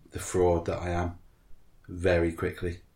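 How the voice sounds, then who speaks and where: Somewhat breathy, this man's voice sits at a very deep, low pitch. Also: very clean recording, silent background. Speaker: podcast co-host. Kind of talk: casual chat. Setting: front room at home.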